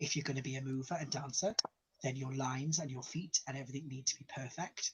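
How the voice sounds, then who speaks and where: Very fast, somewhat breathy male speech at medium pitch, with fairly even intonation. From Wales. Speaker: drag queen. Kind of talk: casual interview chat.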